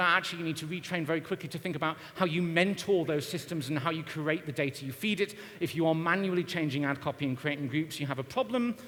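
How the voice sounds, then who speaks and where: A man talks at a very fast pace. His high pitch shows ordinary variation. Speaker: marketing consultant and conference speaker. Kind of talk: conference talk.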